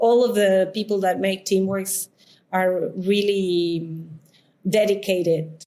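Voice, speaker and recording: A woman with a Spanish accent speaks very slowly at a medium pitch, her intonation fairly even. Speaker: coworking space founder. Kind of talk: interview. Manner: halting, many fillers.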